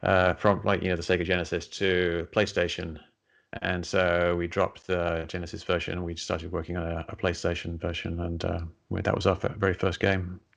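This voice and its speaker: Someone with an English accent talks fairly quickly in a flat monotone against a quiet background. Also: man, very deep, low pitch for a man. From England. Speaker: science writer and skeptic, former game programmer. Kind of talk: interview.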